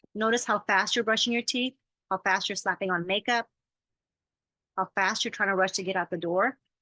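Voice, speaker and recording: A woman speaks at a medium pitch with a bright, sharp tone against a quiet background. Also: dry, close sound with no echo. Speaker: life coach. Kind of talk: talk to an audience on self-care. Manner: fast.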